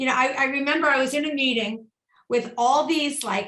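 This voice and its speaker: Her tone is animated. This high-pitched woman uses ordinary pitch variation. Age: 50s. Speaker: keynote speaker and company founder. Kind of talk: casual chat.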